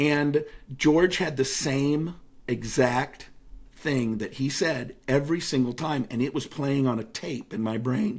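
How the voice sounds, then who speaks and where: A man's ordinary speaking voice, fairly high in pitch, with ordinary pitch variation and a fairly slow pace. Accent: General American. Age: 50s. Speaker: motivational speaker and author. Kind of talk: casual interview chat.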